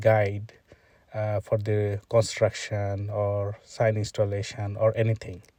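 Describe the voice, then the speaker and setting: Speaking in a Bangladeshi accent, a man talks at a fairly slow pace with a fairly low, somewhat breathy voice and a dark, mellow tone. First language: Bengali. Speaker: traffic engineer demonstrating software. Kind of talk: screen-recorded tutorial. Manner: halting, many filler sounds.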